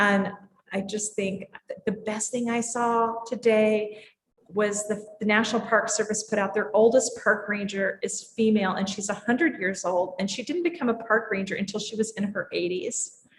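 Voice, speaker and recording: A somewhat breathy woman speaks at a fairly high pitch and moderate pace, with fairly even intonation. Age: 60s. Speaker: drinks industry leader. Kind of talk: casual chat.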